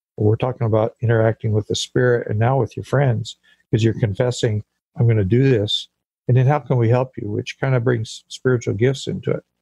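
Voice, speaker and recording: Speaking at a fairly quick pace with an American accent, a man has a medium pitch, a dark, mellow tone, a somewhat breathy quality and fairly even intonation, in a dry, close sound with no echo. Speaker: pastor and church planter. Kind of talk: interview.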